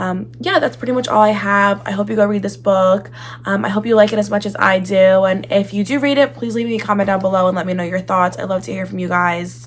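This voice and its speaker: Over noticeable background noise, the speaker talks at a fairly quick pace in an animated tone with very wide pitch swings. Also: woman. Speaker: book reviewer. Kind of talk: casual chat.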